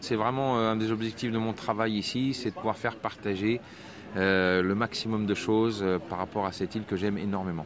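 Noticeable background noise sits behind a man whose fairly low voice holds a very even loudness. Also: fairly even intonation, moderate pace. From France. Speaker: tour guide. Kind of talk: casual interview.

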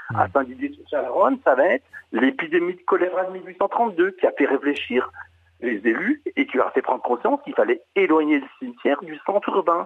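A man's high voice with very wide pitch swings and big swings in loudness. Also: moderate pace. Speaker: heritage association administrator. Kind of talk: radio interview. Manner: halting. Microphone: connection problems.

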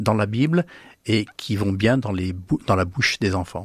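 In a very clean, dry, close recording with a silent background and no echo, a man speaks fairly slowly at a medium pitch, somewhat breathy, with lively intonation. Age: 70s. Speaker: author. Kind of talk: radio interview. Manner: halting.

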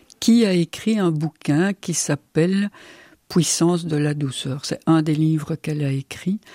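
Her voice is fairly low in pitch, with a dark, mellow tone and ordinary pitch variation. The woman speaks at a very slow pace, and the sound is dry and close with no echo. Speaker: physician and psychotherapist. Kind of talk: radio interview.

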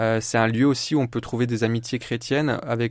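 On a very clean recording with a silent background, a man speaks at a fairly quick pace. His voice is medium in pitch and flat, monotone. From Champagne region, France (Épernay). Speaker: primary school teacher. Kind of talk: radio interview, faith testimony. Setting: radio studio. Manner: hesitant, many fillers.

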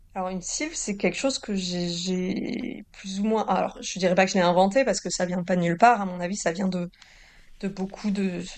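A woman is speaking here. Her pitch is medium and her pace moderate. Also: ordinary pitch variation. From southern France, Toulouse. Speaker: novelist. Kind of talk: interview. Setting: remote link from Nice. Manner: hesitant, repeats words.

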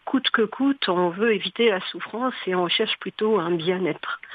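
Over noticeable background noise, a woman talks at a fairly slow pace with a medium pitch and ordinary pitch variation. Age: 60s. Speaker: hospital chaplain. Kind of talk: radio interview. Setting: studio.

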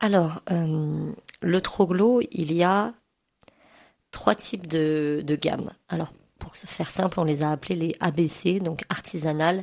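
Speaking at a very slow pace with long, frequent pauses, a woman uses a fairly low pitch and ordinary pitch variation. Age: 30s. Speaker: cooperative supermarket volunteer. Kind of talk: radio interview. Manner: hesitant, many fillers.

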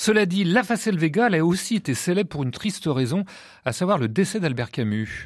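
Very wide pitch swings at a fairly quick pace. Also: man, high pitch for a man. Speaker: radio host. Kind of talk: radio interview. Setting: studio.

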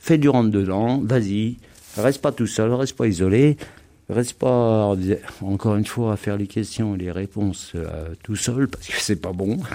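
This man's voice is fairly low in pitch, with a dark, mellow tone. He talks at a fairly slow pace with ordinary pitch variation. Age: 50s. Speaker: resident of a shared house for formerly homeless people. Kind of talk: testimony.

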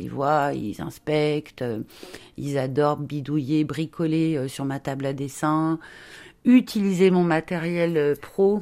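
A woman speaks with a very deep, low pitch and a dark, mellow tone. Her pitch moves in an ordinary way. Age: 50s. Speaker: children's book illustrator. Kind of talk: interview.

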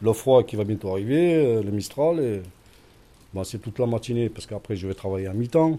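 A man talks at a moderate pace and a medium pitch, in a dark, mellow tone. His intonation is lively, with big swings in loudness. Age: 50s. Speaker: shelter resident. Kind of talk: interview.

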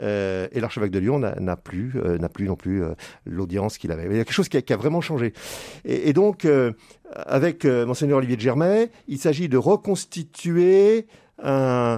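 A man's dark, mellow voice at a medium pitch swings very widely in pitch, keeping a moderate pace broken by long, frequent pauses, in a dry, close, very clean recording with a silent background. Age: 70s. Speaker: priest. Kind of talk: radio interview. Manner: halting, many repetitions and hesitations.

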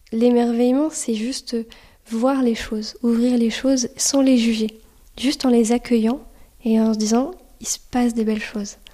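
A woman speaks in a high pitch with a dark, mellow tone. Her pace is fairly slow, broken by long, frequent pauses. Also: fairly even intonation. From Anjou, western France. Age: 20s. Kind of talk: testimony. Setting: in a church.

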